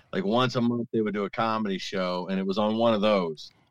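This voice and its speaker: The man has a normal speaking voice with fairly low pitch. He talks at a fairly quick pace. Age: 40s. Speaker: stand-up comedian, navy veteran and former radio host. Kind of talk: casual interview.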